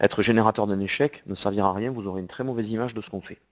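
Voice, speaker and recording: A man with a southern French accent talks at a medium pitch with fairly even intonation, the sound dry and close with no echo. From southern France. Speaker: CEO and e-commerce software presenter. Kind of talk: webinar presentation with Q&A. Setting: online webinar. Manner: hesitant, with repetitions.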